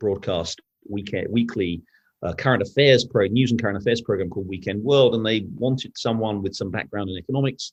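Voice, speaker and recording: A man with a British accent talks at a very fast pace. His voice is fairly low in pitch with ordinary variation. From Britain. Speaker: newspaper editor and journalist. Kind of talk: interview conversation. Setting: podcast interview. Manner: halting, with many restarts.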